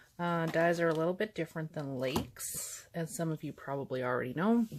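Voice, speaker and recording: Ordinary pitch variation marks a woman's fairly low voice. She speaks at a moderate pace on a very clean recording with a silent background. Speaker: bath bomb maker. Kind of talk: tutorial narration. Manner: unenthusiastic.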